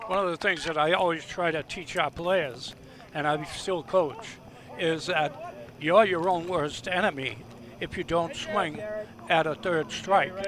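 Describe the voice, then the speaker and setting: Against noticeable background noise, a man with a high voice speaks at a fairly slow pace with ordinary pitch variation. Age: 70s. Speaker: baseball league president and color commentator. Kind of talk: live commentary.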